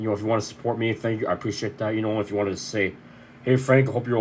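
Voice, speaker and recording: Ordinary pitch variation marks this man's medium-pitched speech. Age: 30s. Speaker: vlogger. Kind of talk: personal video update. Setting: bedroom. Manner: fast.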